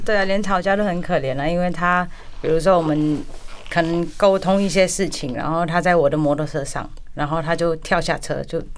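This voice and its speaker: Speaking fairly quickly with fairly even intonation, a woman is heard with audible room echo. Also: fairly low pitch for a woman. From India, Kolkata Chinese community. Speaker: restaurant owner. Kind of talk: radio interview.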